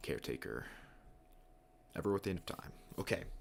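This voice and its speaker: A soft-spoken man with vocal fry at a very fast pace. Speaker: streamer. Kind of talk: casual live stream commentary. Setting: home live stream. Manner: quiet, soft-spoken.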